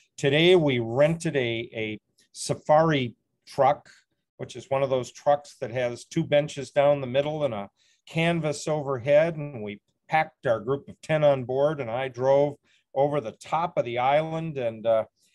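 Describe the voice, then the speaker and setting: This man speaks at a moderate pace with ordinary pitch variation and big swings in loudness. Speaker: remote guest. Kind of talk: casual report to a webinar. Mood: cheerful, relaxed. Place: boat. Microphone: video call.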